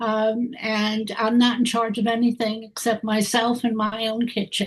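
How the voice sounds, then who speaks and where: The woman's voice is fairly high-pitched and somewhat breathy. She speaks at a fairly slow pace with monotone, flat intonation. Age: 90s. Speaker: retired attorney. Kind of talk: casual introductions on a video call.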